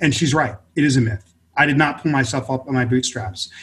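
Speaking at a fairly quick pace, a man uses a plain, everyday voice at a medium pitch. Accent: American. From US West Coast, inner-city Los Angeles. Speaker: author and multimedia consultant. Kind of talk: interview conversation.

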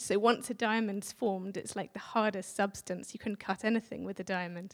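A woman with an English accent speaks at a moderate pace in a medium pitch, with fairly even intonation. The recording is very clean, with a silent background. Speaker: visiting speaker sharing a prophetic word. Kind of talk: church address. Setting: church with audience.

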